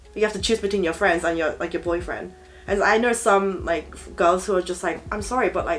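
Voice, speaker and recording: Over music in the background, a woman talks at a fairly quick pace in a medium pitch with fairly even intonation. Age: 20s. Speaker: guest. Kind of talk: casual chat.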